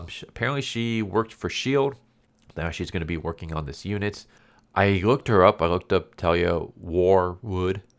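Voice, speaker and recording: Using a put-on character voice, a man speaks at a moderate pace with a raspy, very deep, low pitch and big swings in loudness. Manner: careful pronunciation of R words.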